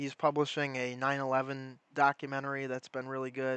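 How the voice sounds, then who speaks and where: A bright, sharp tone at a fairly quick pace, with a dry, close sound, no echo and a quiet background. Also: man. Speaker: livestreamer. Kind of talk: casual livestream chat. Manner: casual, filler-heavy.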